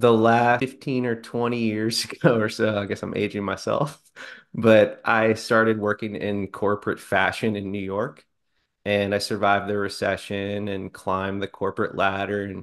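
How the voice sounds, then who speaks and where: At a moderate pace, a man speaks in a fairly low pitch with monotone, flat intonation over a quiet background. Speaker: guest business coach. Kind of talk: interview answer. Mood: relaxed, friendly, some laughs. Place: home room. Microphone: video call.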